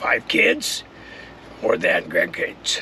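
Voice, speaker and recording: With noticeable background noise behind him, a man speaks with an American accent. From Southern California. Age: 60s. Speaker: retired contractor and vlogger. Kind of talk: personal vlog monologue. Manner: casual, loosely scripted.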